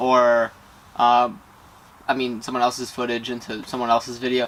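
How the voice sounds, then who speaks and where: A man is mumbling. His pace is moderate. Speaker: vlogger; youtuber. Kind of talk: tutorial. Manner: casual, hesitant. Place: garden. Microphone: camera far.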